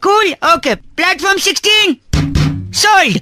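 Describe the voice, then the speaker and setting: Faint music plays in the background behind this put-on character voice. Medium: comedy sketch.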